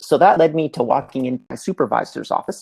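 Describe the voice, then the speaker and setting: Very fast speech from a man, dry and close-sounding, without any echo. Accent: Canadian. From Canada, Montreal. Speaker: entrepreneur and remote work speaker. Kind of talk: live presentation. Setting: livestream.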